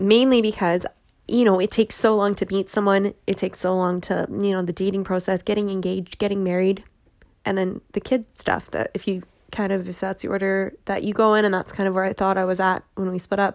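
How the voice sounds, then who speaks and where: This woman talks at a fairly quick pace. Her medium-pitched delivery is monotone, with flat intonation. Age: 30s. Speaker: podcast host, teacher sharing infertility journey. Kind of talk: personal monologue podcast. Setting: home recording in bedroom.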